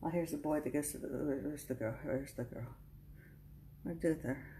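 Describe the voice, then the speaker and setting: A woman with a very deep, low pitch and vocal fry, moderate pace, fairly even intonation and light background noise. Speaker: craft vlogger. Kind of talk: casual talk to camera, haul show-and-tell. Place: home room. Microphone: phone near.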